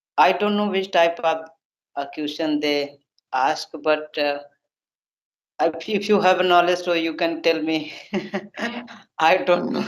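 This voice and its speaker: In an Indian accent, the speech moves at a fairly slow pace with long, frequent pauses. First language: Hindi. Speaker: English learner. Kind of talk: casual chat. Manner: halting.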